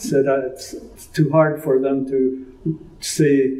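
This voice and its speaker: In a room with audible echo, a man with a dark, mellow tone speaks at a very slow pace with monotone, flat intonation. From British Columbia, Canada. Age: 80s+. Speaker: interviewee, elder recounting family history. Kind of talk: oral history interview. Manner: halting, with many fillers.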